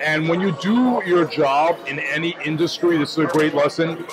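A man speaks while clear music is heard behind him. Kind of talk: casual vlog chat. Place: cafe. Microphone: lapel.

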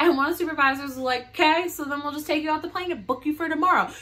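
The speaker is a woman. Her voice comes across bright and sharp. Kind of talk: casual storytime vlog. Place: home room. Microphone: phone near.

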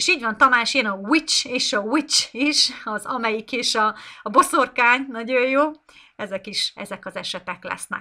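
A woman's high, bright and sharp voice at a moderate pace, with lively intonation, big swings in loudness and a quiet background. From Hungary. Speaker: English teacher. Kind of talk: live online lesson. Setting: live stream. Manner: unscripted, off the cuff. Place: home room. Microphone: webcam.

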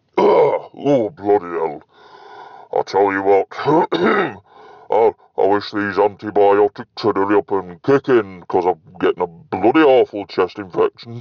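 Using a put-on character voice, a man speaks at a fairly low pitch and a fairly slow pace. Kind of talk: comedy character sketches.

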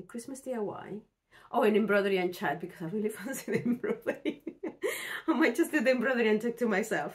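A woman at medium pitch, talking at a fast pace with ordinary pitch variation

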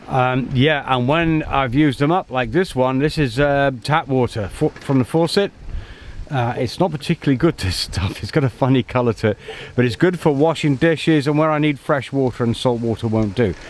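At a moderate pace and with ordinary pitch variation, a man speaks in a dry sound with no echo. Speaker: solo sailor vlogger. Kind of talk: casual vlog chat. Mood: relaxed, easygoing. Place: boat. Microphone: phone near.

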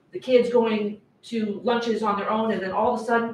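Light background noise sits under the voice, with audible room echo. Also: woman. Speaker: public commenter at school board meeting. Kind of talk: public comment speech. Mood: upset, insistent. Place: meeting room. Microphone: camera far.

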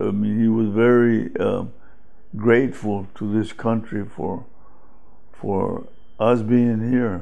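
Speaking at a very slow pace with long, frequent pauses, a man keeps his intonation fairly even. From south Texas. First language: Spanish. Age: 80s+. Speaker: family elder interviewee. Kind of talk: interview answer. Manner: hesitant, reflective. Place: home room. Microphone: lapel.

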